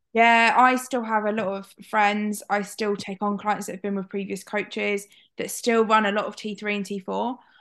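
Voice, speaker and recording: In a quiet background, a woman talks at a moderate pace with a medium pitch and monotone, flat intonation. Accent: British. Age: 20s. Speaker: podcast host. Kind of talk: casual chat.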